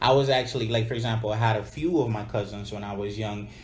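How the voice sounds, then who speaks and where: In an American accent, a man talks at a fairly quick pace with fairly even intonation, and audible room echo surrounds him. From United States, Dominican American family. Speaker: podcast co-host. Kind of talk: casual conversational podcast discussion. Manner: casual, filler-heavy, with slang.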